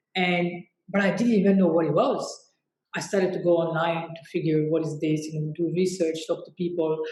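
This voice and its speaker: Moderate pacing and fairly even intonation, plus audible echo from the room. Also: woman. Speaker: fashion entrepreneur. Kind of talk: interview conversation.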